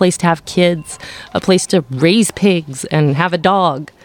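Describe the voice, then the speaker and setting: A woman speaks with a Canadian accent. Her pitch sits fairly low. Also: dry, close sound with no echo. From Powell River, British Columbia, Canada. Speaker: city council candidate. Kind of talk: interview.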